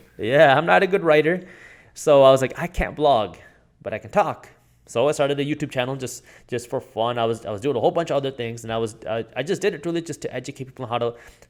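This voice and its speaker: A man with a non-native accent talks at a very fast pace, fairly high in pitch, with ordinary pitch variation. The recording is very clean, with a silent background. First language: not English. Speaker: finance YouTuber and entrepreneur. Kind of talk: interview conversation.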